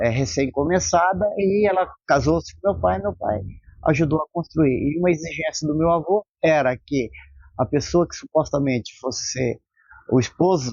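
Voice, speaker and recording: Speaking at a moderate pace with lively intonation, a man uses a plain, everyday voice pitched fairly high. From Brazil, Londrina (Paraná). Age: 60s. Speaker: local resident. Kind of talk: interview testimony.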